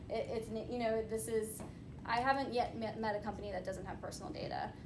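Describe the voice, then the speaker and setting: Someone with an American accent speaks at a very fast pace, with audible room echo and noticeable background noise. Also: woman, fairly high pitch for a woman, ordinary pitch variation. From US, North Carolina. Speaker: privacy and data security attorney on a panel. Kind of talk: panel discussion.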